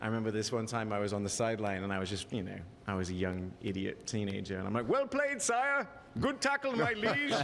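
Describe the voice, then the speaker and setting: A man talks at a very fast pace. Audible room echo and noticeable background noise come through. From England. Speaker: former TV host and social media creator. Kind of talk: casual chat. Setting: live show at a bar stage.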